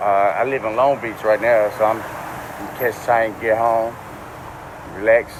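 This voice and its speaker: Over noticeable background noise, a man with a New Orleans accent speaks at medium pitch and a moderate pace, in a monotone, flat delivery broken by long, frequent pauses. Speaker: man just released from jail. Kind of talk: street interview.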